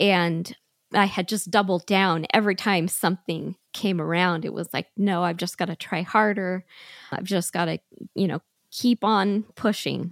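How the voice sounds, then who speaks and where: A woman with a plain, everyday voice at medium pitch, fairly even intonation and a moderate pace, in a dry, close sound with no echo and a very clean recording against a silent background. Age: 40s. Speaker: small business owner. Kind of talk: interview testimony.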